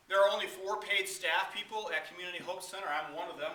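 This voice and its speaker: Someone with an American accent projects a raised voice at a fairly quick pace. Noticeable background noise and audible room echo surround it. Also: man. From Michigan, Kalamazoo area. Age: 60s. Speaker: charity director, former pastor. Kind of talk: talk to a club meeting.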